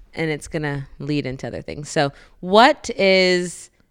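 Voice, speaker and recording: Lively intonation marks this woman's speech on a very clean recording with a silent background. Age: 30s. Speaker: podcast host. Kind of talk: casual chat. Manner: animated.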